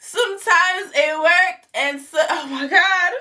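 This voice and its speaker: A woman's raised, projected voice at an extremely high pitch, very slow in pace, with ordinary pitch variation. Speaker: YouTube storyteller. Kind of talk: storytime vlog, casual chat. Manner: animated.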